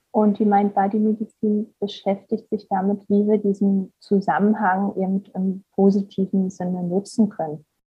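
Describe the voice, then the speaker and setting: A woman speaks in a somewhat breathy voice of medium pitch. Her pace is moderate and her intonation monotone and flat. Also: hardly any pauses. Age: 30s. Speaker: psychologist and mind-body therapist. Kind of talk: interview.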